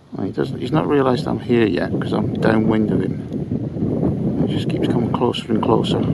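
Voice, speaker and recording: Moderate pace with hardly any pauses, ordinary pitch variation, and noticeable background noise. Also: man, medium pitch for a man. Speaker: metal detectorist. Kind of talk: outdoor hobby vlog narration. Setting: outdoors in a field. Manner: casual, hesitant with fillers; quiet, hushed.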